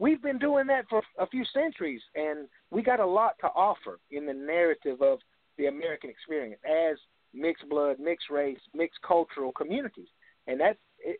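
A man with a high pitch, very wide pitch swings, a moderate pace, and a Southern US accent. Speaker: author and historian of Indian descendant communities. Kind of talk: radio interview.

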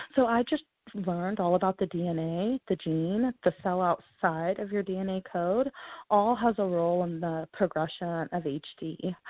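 An unremarkable speaking voice with an American accent moves at a fairly slow pace with ordinary pitch variation. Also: woman, medium pitch for a woman. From Texas, Houston. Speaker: patient advocate. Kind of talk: interview.

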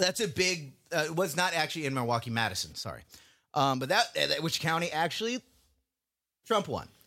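A man's fairly high, bright and sharp voice with vocal fry, animated in tone, with very wide pitch swings, a fairly quick pace, long and frequent pauses, and a very clean recording with a silent background. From US South. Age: 20s. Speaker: podcast co-host. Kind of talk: casual chat.

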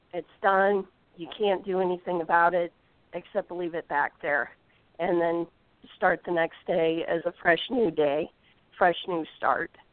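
With a Midwestern American accent, the speaker talks at a fairly slow pace with fairly even intonation and long, frequent pauses. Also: woman. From US Midwest, Indiana. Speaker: golf instructor. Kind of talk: interview. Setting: phone call.

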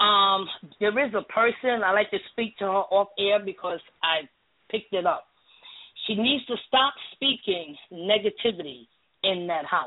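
An unremarkable speaking voice: a woman at medium pitch, fairly slow pace and lively intonation. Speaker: caller, spiritual practitioner. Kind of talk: advice-giving. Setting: phone call.

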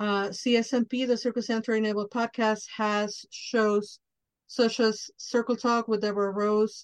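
Speaking very slowly in a Spanish accent, a woman keeps a fairly high pitch and a flat, monotone intonation. The sound is dry and close with no echo, against a quiet background. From Mexico. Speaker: podcast host. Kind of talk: casual interview chat; show announcements.

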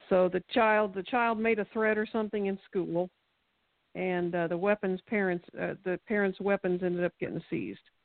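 Fairly even intonation in a plain, everyday voice, moving at a moderate pace. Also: woman, medium pitch for a woman. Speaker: local party activist. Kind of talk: radio interview. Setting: phone call.

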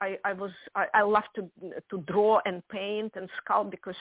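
A woman speaks at a moderate pace and a medium pitch. The sound is dry and close, with no echo.

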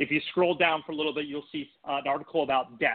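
In a plain, everyday voice with an American accent, the speaker talks at a fairly quick pace with fairly even intonation. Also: man. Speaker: political operative and data analyst. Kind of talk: political talk radio interview.

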